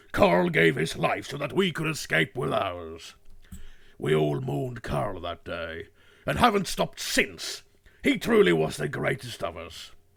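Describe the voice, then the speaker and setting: A man puts on a character voice with a very deep, low pitch, speaking in a dramatic tone at a moderate pace. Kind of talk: dramatic storytelling. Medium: role play. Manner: rousing, dramatic.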